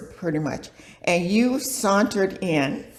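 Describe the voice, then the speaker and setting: A woman at a medium pitch talks at a very slow pace with lively intonation, over noticeable background noise. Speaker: yoga teacher. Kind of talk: interview answer.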